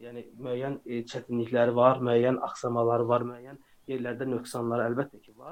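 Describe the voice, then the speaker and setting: A man at medium pitch and moderate pace, flat and monotone, with big swings in loudness. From Azerbaijan. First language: Azerbaijani (speaking Turkish). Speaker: software developer. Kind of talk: interview.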